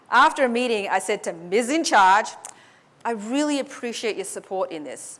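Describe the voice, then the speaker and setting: A woman with an Australian accent, lively intonation and a fairly slow pace. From Australia (Sydney), born in Hong Kong. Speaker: public speaking coach. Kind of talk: motivational talk.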